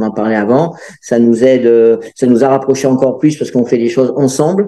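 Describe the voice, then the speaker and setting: At a very fast pace, a man speaks in a dark, mellow tone with fairly even intonation. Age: 60s. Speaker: amateur senior bachata dancer. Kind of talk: interview. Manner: hesitant, many fillers.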